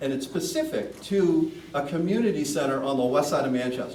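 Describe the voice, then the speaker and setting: A man speaks loudly at a moderate pace. Room echo is audible, along with noticeable background noise. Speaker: commercial real estate broker, community center board member. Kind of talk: public meeting Q&A. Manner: loud, projecting; hesitant, repeats words.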